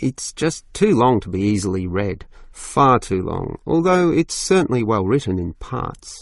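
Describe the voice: Putting on a character voice, a man speaks at a fairly slow pace with a fairly low pitch, big pitch swings, and vocal fry, in a very clean recording with a silent background.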